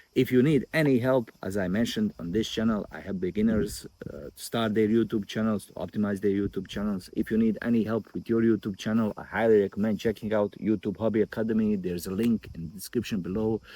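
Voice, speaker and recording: This man talks very fast with hardly any pauses, in a non-native accent, his fairly low, dark, mellow voice keeping a fairly even intonation while the loudness swings widely. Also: dry, close sound with no echo. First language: not English. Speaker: YouTube growth coach. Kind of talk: casual vlog talk to camera. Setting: outdoors by a river.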